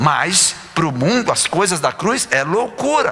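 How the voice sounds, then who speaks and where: Over noticeable background noise, a man speaks in a raised, projected voice with a high pitch. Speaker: pastor. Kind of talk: sermon.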